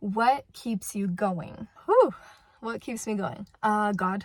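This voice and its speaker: Speaking fairly slowly, a woman uses a medium, somewhat breathy voice with ordinary pitch variation. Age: 20s. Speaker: vlogger and stay-at-home mom. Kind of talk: casual Q&A chat to camera.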